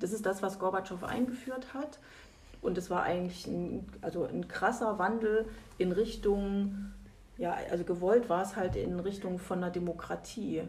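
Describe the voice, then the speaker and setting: Ordinary pitch variation accompanies a fairly slow pace of delivery. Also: woman, medium pitch for a woman. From East Germany. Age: 50s. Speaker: lawyer. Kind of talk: interview. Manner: hesitant, many fillers.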